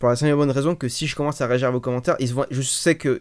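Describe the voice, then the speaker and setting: A man speaks very fast at a medium pitch with fairly even intonation. The recording is very clean, with a silent background. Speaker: streamer. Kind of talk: testimony. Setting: live stream. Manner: halting.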